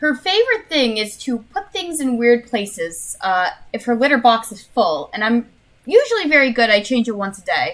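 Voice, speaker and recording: A woman with an American accent speaks at a moderate pace and a fairly high pitch. Her voice moves in very wide pitch swings. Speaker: vtuber streamer. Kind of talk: casual chat. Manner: halting.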